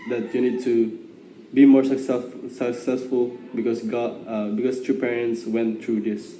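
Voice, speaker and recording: Amid noticeable background noise and audible room echo, a man talks at a medium pitch with monotone, flat intonation. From Philippines. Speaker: gap year program participant. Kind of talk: testimony. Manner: halting.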